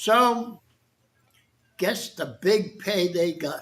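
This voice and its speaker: A man talks with an American accent. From Boston, Massachusetts (South Boston). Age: 80s+. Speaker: war veteran. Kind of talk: talk to an audience. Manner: conversational.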